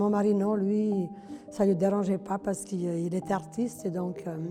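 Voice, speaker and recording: A woman at a medium pitch and moderate pace, with music in the background. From former Yugoslavia. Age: 70s. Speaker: retired hairdresser, amateur theatre actor. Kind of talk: campaign testimonial interview. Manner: outspoken; hesitant, conversational.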